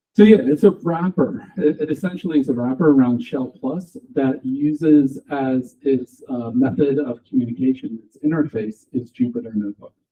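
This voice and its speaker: A man speaks loudly with an American accent at a moderate pace, his pitch fairly high. His intonation is lively, with hardly any pauses. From USA. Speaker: software developer, conference speaker. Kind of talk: tech talk. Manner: loud, projecting.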